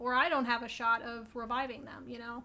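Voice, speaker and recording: The speaker uses a raised, projected voice with a bright, sharp tone at a moderate pace. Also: woman. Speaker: plant youtuber. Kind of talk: casual chat.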